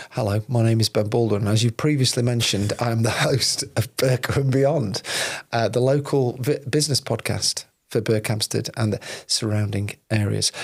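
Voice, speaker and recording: A man speaks at a moderate pace in a medium, somewhat breathy voice. His loudness stays very even and his intonation fairly even. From northern England, Sheffield and Peak District. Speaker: podcast host and video producer. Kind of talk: casual interview.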